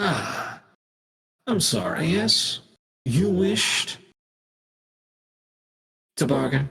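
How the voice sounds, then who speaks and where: A man's high, raised and projected put-on character voice, very slow with lively intonation and long, frequent pauses. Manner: polite, courteous.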